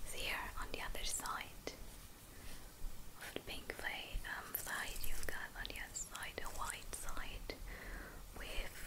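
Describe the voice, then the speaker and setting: A woman's mumbling whisper at a very slow pace. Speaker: ASMR creator. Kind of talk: ASMR whisper video; whispered ASMR talk. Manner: whispered, soft, mumbling. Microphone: studio mic.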